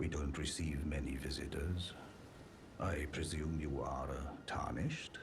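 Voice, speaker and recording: A man puts on a character voice at a moderate pace, with loud background noise behind him. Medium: video game. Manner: polite, measured, old-fashioned.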